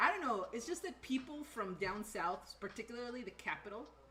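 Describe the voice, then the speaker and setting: A woman's animated tone with very wide pitch swings at a fairly quick pace, amid noticeable background noise. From northern Mexico. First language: Spanish. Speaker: streamer and content creator. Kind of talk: casual chat on a cooking livestream. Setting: home kitchen livestream.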